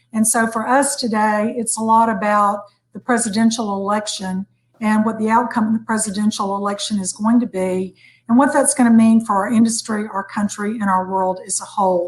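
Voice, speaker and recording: Speaking with an American accent, a woman talks at a fairly quick pace with a fairly high pitch. Her intonation is fairly even, and her voice is somewhat breathy. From United States. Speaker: hotel executive. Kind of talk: panel discussion.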